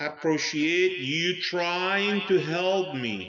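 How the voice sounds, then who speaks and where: A loud man with a high pitch, at a very slow pace, amid audible room echo. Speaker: religious commentator. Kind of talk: monologue. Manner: loud and clear.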